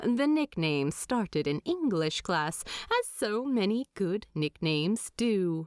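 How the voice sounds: At a slow pace, the voice moves through big pitch swings in a dry, close sound with no echo and a very clean recording with a silent background. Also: woman, medium pitch for a woman.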